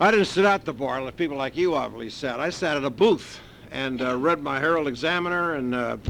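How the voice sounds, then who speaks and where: A man with an American accent, fairly high pitch, ordinary pitch variation and a fairly quick pace, over music in the background. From US West Coast, West Los Angeles. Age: 60s. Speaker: recovery meeting speaker. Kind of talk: personal testimony. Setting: meeting with audience.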